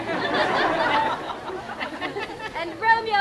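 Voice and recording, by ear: This is reading aloud in a natural voice.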